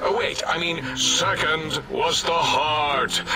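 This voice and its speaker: A man performs a cartoonish character voice at a very slow pace over loud background noise. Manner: rambling, distracted.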